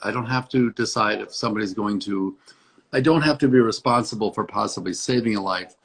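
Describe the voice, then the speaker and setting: Here is an unremarkable speaking voice from a man with an American accent. He talks at medium pitch and a moderate pace, with ordinary pitch variation. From US Midwest, Hinsdale, Illinois. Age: 60s. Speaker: dentist. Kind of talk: interview.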